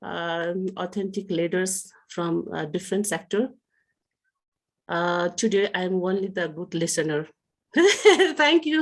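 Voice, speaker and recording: In a Nepali accent, a woman speaks at a very slow pace and medium pitch with lively intonation over a quiet background. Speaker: PhD scholar and writer. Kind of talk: round table self-introduction. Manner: halting, many hesitations.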